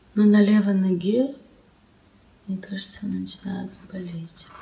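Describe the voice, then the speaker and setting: Here a woman talks at a fairly slow pace. Her intonation stays fairly even. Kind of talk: casual vlog chat. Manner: weak, groggy voice in mild pain. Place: home room. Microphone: phone near.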